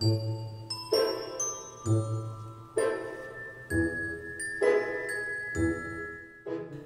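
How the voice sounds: What you hear is a natural reading voice.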